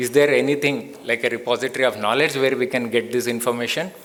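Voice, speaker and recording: In a Telugu accent, the speaker moves at a fairly quick pace with ordinary pitch variation. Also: man. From India, Bellary, Karnataka. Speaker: tech company founder and CEO. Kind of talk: symposium talk. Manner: conversational, many fillers.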